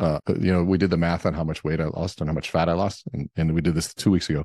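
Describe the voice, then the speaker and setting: Over a quiet background, a man with a very deep, low pitch speaks at a fairly quick pace with fairly even intonation, the sound dry and close with no echo. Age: 40s. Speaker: author and speaker. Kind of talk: casual chat.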